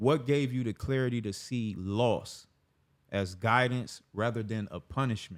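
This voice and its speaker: Speaking fairly slowly, a man has a plain, everyday voice of medium pitch with ordinary pitch variation. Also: very clean recording, silent background. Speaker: podcast host. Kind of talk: podcast interview questions.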